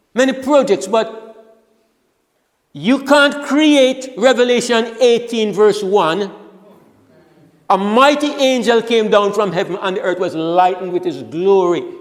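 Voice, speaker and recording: Speech moves at a fairly slow pace with long, frequent pauses. Room echo is audible. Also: man, high pitch for a man, lively intonation. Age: 70s. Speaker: preacher. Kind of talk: sermon. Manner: halting.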